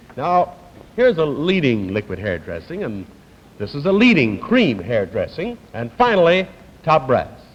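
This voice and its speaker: Noticeable background noise behind a man's voice, its pitch swinging very widely. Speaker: game show host. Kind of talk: 1950s game show host patter and TV commercial read.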